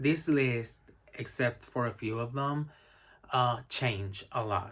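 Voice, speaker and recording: A man with a Spanish accent speaks at a medium pitch and a very slow pace. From Spain. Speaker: book reviewer. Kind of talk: casual recommendation talk to camera. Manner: hesitant with many fillers.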